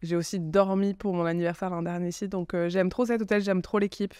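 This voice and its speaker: The speaker has a southern French accent. The recording is very clean, with a silent background. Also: woman. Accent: Aveyron. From southern France, Aveyron. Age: 30s. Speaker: communications agency founder. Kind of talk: podcast interview. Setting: hotel.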